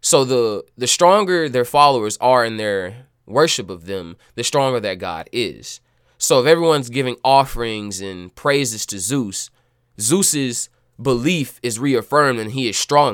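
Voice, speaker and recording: A man speaks at a medium pitch and fairly slow pace with lively intonation and big swings in loudness, on a very clean recording with a silent background. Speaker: podcast host. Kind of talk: casual solo storytelling monologue. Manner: expressive, animated storyteller.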